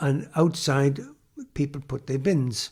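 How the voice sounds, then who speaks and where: Against a silent background in a very clean recording, a man speaks with a fairly high pitch and fairly even intonation. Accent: South Wales Valleys. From South Wales, Hirwaun near Aberdare. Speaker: former coal miner. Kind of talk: oral history interview. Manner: halting.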